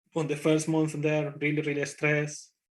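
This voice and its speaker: A man with a fairly high pitch speaks with a strong Spanish accent against a quiet background. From Spain. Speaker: conference speaker, IT developer. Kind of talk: conference talk. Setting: conference talk. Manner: hesitant, with fillers.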